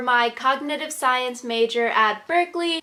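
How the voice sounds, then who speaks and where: A woman with an American accent projects a raised, high-pitched voice in an upbeat tone. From Maryland, United States. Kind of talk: casual talk to camera. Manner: upbeat, chatty.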